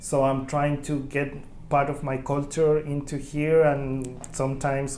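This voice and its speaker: The speaker has a Chilean Spanish accent. Room echo is audible. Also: man. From Chile, Santiago and Concepcion. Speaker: immigrant oral history interviewee. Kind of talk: oral history interview. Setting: community center. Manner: halting.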